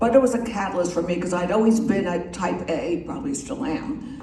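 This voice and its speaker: With lively intonation and a fairly quick pace, a woman talks over noticeable background noise, her voice carrying an audible room echo. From US Northeast. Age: 70s. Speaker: magazine publisher. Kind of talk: after-dinner talk. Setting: club meeting with audience. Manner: casual, chatty.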